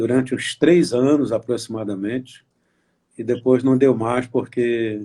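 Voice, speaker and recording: A man's dark, mellow voice at a fairly slow pace. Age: 70s. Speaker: pastor. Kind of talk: testimony. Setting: Instagram live video chat. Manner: halting.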